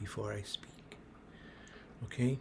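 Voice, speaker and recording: Medium in pitch, a man's somewhat breathy voice has a dark, mellow tone and monotone, flat intonation. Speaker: small business advice youtuber. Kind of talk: casual advice monologue. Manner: slow; halting, many fillers.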